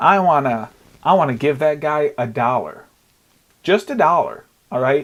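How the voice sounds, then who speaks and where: A fairly high-pitched man with lively intonation. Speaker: podcaster and YouTuber. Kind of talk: casual solo podcast monologue. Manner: rambling, fast with stumbles.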